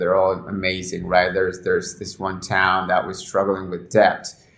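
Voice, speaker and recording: Very deep and low, a man's voice stays monotone with flat intonation. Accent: Spanish. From Argentina. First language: Spanish. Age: 30s. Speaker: cannabis journalist. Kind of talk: interview. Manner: frequent repetitions and false starts.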